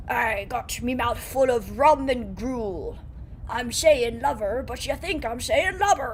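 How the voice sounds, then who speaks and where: A put-on character voice with a fairly high pitch moves at a fairly slow pace over clear background noise. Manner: mouth full, slurring lover as lubber.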